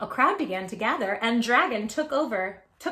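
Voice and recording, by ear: Intonation here is lively. Someone reads aloud in a natural voice.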